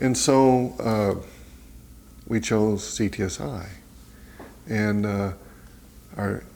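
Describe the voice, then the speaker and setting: A very slow man with an American accent, a dark, mellow tone, fairly low pitch, ordinary pitch variation and long, frequent pauses. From West Texas. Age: 60s. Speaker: nonprofit executive director. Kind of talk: interview. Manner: casual, hesitant with fillers.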